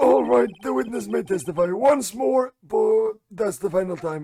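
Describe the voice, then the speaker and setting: A man does a put-on character voice, raspy and high-pitched. He talks at a moderate pace with very wide pitch swings. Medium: game stream.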